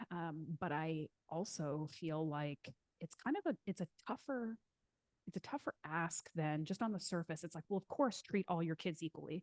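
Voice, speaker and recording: A woman with a plain, everyday voice talks at a moderate pace, her fairly low pitch showing ordinary variation, in dry, close sound with no echo. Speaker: podcast co-host. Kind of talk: casual chat.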